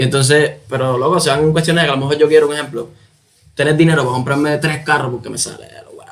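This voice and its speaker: With a Cuban accent, a man talks at a very fast pace and a fairly high pitch, his intonation monotone and flat but his loudness swinging widely. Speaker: musician. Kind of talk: interview answer.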